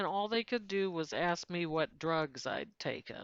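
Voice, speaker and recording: A woman with an American accent, fairly slow in pace and lively in intonation. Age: 60s. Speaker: YouTuber, law of attraction speaker. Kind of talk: personal testimony monologue.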